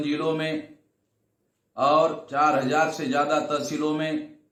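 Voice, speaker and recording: A man with a fairly high pitch speaks amid audible room echo. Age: 60s. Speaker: activist organization leader. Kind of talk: recorded speech to a convention. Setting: video message.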